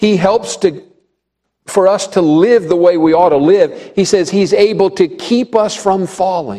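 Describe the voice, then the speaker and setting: With a high pitch and a dark, mellow tone, a man talks at a fairly slow pace, keeping ordinary pitch variation and very even loudness. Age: 70s. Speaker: pastor. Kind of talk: sermon. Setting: church.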